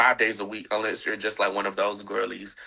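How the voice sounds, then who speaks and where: A man talks at a fairly quick pace in a Southern US accent. His tone is bright and sharp. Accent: Southern, country. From US South, Atlanta, Georgia. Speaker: fashion blogger and reality TV personality. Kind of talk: casual interview chat.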